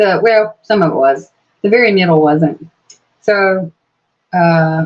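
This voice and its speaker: A woman speaks in an American accent. Her intonation is lively. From Georgia, US South. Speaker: YouTuber. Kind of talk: live stream chat. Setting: live stream on tablet. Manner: relaxed, hesitant with fillers.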